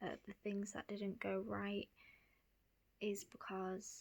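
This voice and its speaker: With an English accent, a woman speaks very slowly at a medium pitch. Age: 20s. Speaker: young mother. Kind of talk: storytime vlog. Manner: halting, frequent ums.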